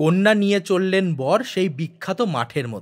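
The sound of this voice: Lively intonation carries the speech at a moderate pace. The recording is very clean, with a silent background. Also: man.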